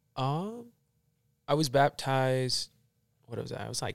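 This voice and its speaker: Moderate-paced speech from a man, dry and close with no echo, on a very clean recording with a silent background. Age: young. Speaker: church member. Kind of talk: casual chat.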